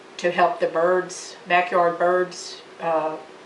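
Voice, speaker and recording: Noticeable background noise and audible room echo accompany a woman speaking at a fairly low pitch. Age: 60s. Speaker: college student. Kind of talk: class demonstration speech. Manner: halting, with fillers.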